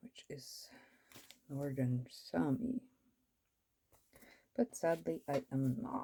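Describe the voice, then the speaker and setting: A woman speaks very slowly, leaving long, frequent pauses. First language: Norwegian. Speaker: planner vlogger. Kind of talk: casual chat. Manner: casual, rambling with fillers.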